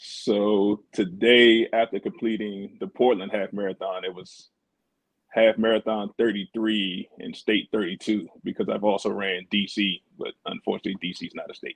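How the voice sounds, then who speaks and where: A man talks at a moderate pace in a fairly low pitch. His intonation is monotone and flat, but his loudness swings widely. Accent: American. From Maryland / DC area, US. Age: 40s. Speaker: runner, law enforcement officer. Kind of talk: interview.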